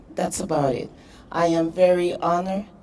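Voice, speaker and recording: A woman with a Spanish accent at a moderate pace, with audible room echo. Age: 40s. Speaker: professional boxer. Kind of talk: press conference speech. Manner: halting.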